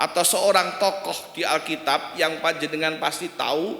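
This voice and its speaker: Speaking in an East Javanese accent, a man projects a raised voice at a fairly slow pace with fairly even intonation, amid audible room echo and noticeable background noise. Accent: East Javanese accent still noticeable. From East Java (Kediri), Indonesia. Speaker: guest preacher. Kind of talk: sermon. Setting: church.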